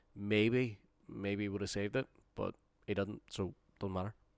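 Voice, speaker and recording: Monotone, flat intonation in a Northern Irish accent, on a very clean recording with a silent background. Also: man. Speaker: football podcast co-host. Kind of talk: casual chat.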